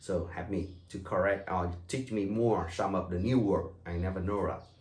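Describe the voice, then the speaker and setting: A man with a Vietnamese accent speaks at a fairly slow pace. His pitch varies in an ordinary way, and the room echo is audible. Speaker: tour guide. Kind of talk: welcome talk to tour group. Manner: halting, with fillers.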